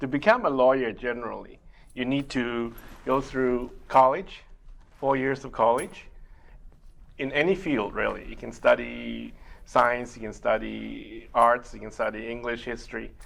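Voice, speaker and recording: A man with a Chinese accent talks at a fairly slow pace, his loudness swinging widely. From Taiwan and Malaysia. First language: Mandarin Chinese. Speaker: immigration lawyer. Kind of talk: interview. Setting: TV studio. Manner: halting.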